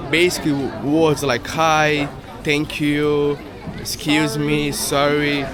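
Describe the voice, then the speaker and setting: A man's fairly high voice in a Portuguese accent, with audible room echo and crowd noise in the background. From Brazil. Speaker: travel vlogger. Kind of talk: casual vlog.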